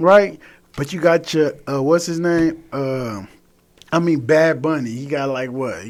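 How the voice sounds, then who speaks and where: Fairly slow in pace, a man with an American accent speaks at a fairly high pitch with ordinary pitch variation. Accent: sounds Southern US with an LA twist. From Los Angeles, South Central. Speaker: rapper. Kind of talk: radio interview. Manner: casual.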